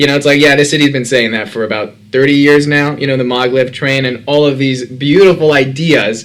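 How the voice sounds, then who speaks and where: A man talks at a fairly quick pace with hardly any pauses, in an American accent. He has a fairly high pitch and an ordinary speaking voice. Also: fairly even intonation. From Brooklyn, New York. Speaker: podcast host, real estate broker. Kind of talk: interview.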